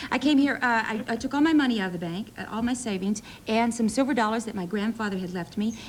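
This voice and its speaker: Talking very fast in an American accent, a woman with a fairly high, somewhat breathy voice uses ordinary pitch variation. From US South, Middle Tennessee near Nashville. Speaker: soap opera actress. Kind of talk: talk show interview. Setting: TV studio with audience.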